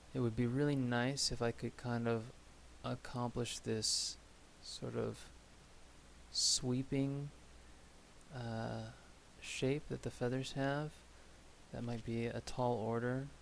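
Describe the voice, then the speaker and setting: Soft-spoken, a man talks at a very slow pace, leaving long, frequent pauses. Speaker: miniature painting streamer. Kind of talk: casual live-stream commentary while painting. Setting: live stream at a hobby table. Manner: soft-spoken, quiet. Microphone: audio was too quiet last stream, settings changed.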